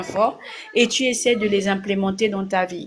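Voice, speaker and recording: A woman talks at a fairly slow pace, her pitch medium with ordinary variation. Noticeable background noise runs under her voice. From Gabon. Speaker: blogger / online commentator. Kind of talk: casual direct-to-camera monologue. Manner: hesitant, many fillers.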